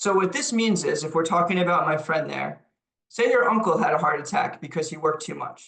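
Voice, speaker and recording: A man in a New York accent, high-pitched, bright and sharp in tone, with lively intonation and a fairly quick pace. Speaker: lecturer on leadership. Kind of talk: lecture. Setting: webinar.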